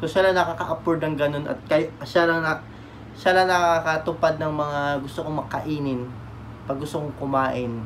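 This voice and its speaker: Light background noise sits behind a man who speaks at a moderate pace. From Philippines. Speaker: vlogger. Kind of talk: casual storytelling vlog. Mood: sentimental, grateful. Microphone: phone near.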